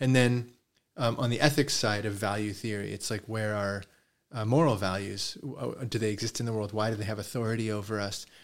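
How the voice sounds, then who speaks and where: A man talks at a fairly quick pace in an unremarkable speaking voice, his pitch fairly low and his intonation fairly even. The recording is very clean, with a silent background. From Canada, Toronto. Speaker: philosophy professor. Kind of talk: interview conversation.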